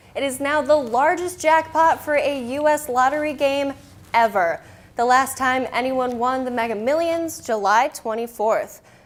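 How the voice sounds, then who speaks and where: Ordinary pitch variation marks this speech, delivered in an American accent. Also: woman, high pitch for a woman, moderate pace. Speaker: TV news reporter and anchor. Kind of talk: local TV news anchor delivery.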